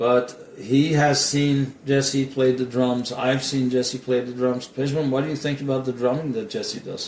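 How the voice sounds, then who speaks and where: The voice has fairly even intonation, with noticeable background noise behind it. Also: man, medium pitch for a man, fairly slow pace. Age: 60s. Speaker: interviewer. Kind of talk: interview. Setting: at guest's house. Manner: halting.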